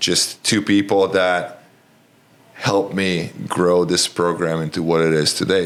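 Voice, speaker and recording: In a Romanian accent, the speaker talks at a fairly slow pace with monotone, flat intonation over noticeable background noise. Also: man. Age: 40s. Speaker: college basketball coach. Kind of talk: podcast interview. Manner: direct, to the point.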